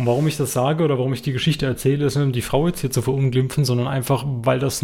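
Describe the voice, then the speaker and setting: Over noticeable background noise, a man speaks very fast at a medium pitch in a monotone, flat intonation. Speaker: podcast co-host. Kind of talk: casual chat.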